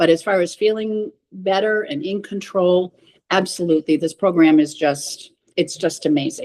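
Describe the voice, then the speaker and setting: With lively intonation at a moderate pace, this is a normal speaking voice. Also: woman, medium pitch for a woman. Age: 60s. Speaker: cancer patient sharing her story. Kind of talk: interview testimony.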